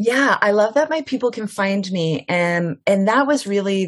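A plain, everyday voice carries lively intonation. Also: woman. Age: 40s. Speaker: business coach. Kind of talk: casual interview. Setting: video call.

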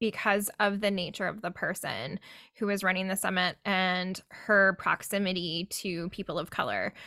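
Speaking with a Canadian accent, a woman at medium pitch uses a bright, sharp tone, fairly even intonation and a moderate pace. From Canada. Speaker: podcast host, identity coach. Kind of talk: podcast interview.

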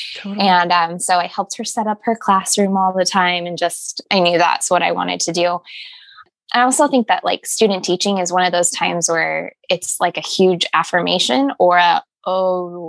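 A woman with an ordinary speaking voice and an American accent talks at a moderate pace, her pitch fairly low and her intonation fairly even, in a dry, close sound with no echo. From Arizona. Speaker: virtual assistant and podcast manager, former teacher. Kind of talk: interview.

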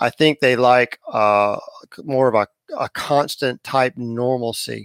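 In a coastal North Carolina accent, a man is heard on a very clean recording with a silent background and a dry, close sound with no echo. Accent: coastal North Carolina Southern. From southern North Carolina. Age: 50s. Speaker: fishing guide. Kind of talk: interview.

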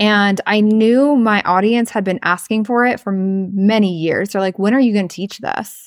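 A woman with an American accent speaks at a moderate pace and medium pitch in a very clean recording with a silent background. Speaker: podcast host and spiritual business coach. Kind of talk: casual personal storytelling monologue. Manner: animated.

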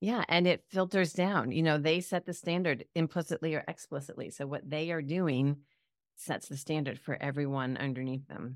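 A woman speaks at a moderate pace with a very deep, low pitch. Her pitch variation is ordinary. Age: 50s. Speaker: psychologist and health coach. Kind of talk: casual interview chat.

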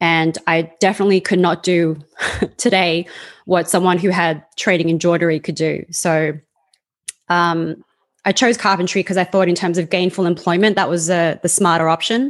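A woman's fairly low voice, very even in loudness and fairly even in intonation, with a quiet background. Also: moderate pace. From Australia. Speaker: carpenter. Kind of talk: interview. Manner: rambling, hesitant.

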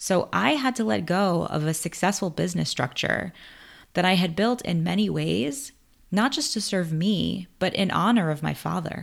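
A very clean recording with a silent background of a woman at a moderate pace, with an American accent. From US, Queens, New York. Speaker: podcast host, screenwriter. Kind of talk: personal story monologue.

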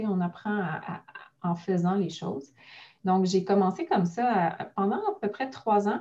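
A woman with an unremarkable speaking voice, medium in pitch, at a fairly slow pace with ordinary pitch variation. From Quebec, Mont-Saint-Hilaire (south shore of Montreal). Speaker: notary. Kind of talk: interview conversation.

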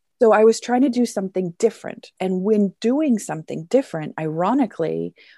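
A woman with a Canadian accent speaks at a moderate pace, her medium-pitched voice dark and mellow in tone. The sound is dry and close with no echo, over a quiet background. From Canada. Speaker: teacher and teacher mentor. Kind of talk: casual chat.

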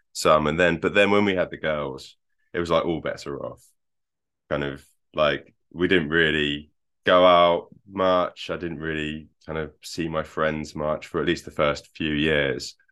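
A man with an English accent speaks at a very deep, low pitch. His intonation is monotone and flat, and his pace fairly slow. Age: 40s. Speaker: software engineer and husband of a program participant. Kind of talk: interview. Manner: halting.

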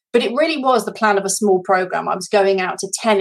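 A woman with a British accent at medium pitch, a fairly quick pace and ordinary pitch variation. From Britain. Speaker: life coach. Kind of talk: testimony. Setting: video call.

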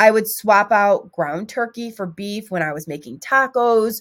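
On a very clean recording with a silent background, a woman with a plain, everyday voice speaks at a fairly high pitch and a fairly slow pace, with ordinary pitch variation. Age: 40s. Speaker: weight loss podcast host. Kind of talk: casual monologue.

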